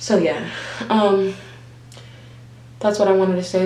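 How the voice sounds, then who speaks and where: A woman talks at a medium pitch, with audible room echo and noticeable background noise. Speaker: vlogger and nurse. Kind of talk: casual chat.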